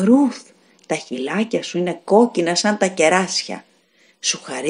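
Here the speaker reads in a natural voice.

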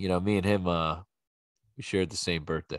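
An animated voice with a Philadelphia accent at a moderate pace, dry with no echo, over a quiet background. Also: man. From Philadelphia, US. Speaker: podcast host and bartender; podcast host. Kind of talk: casual solo monologue; casual podcast monologue. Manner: animated, rambling with fillers. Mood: relaxed, joking, opinionated; subdued in the tribute. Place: home room. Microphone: studio mic.

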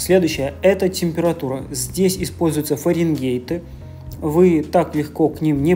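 Faint music plays behind a woman who speaks fairly slowly in a very deep, low voice. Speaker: vlogger. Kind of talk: casual vlog chat. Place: shop. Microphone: phone near.

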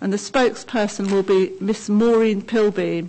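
Fairly even intonation carries a woman's medium-pitched voice. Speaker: committee chair. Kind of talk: formal council meeting. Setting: council chamber meeting. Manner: formal, procedural. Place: meeting room. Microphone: podium.

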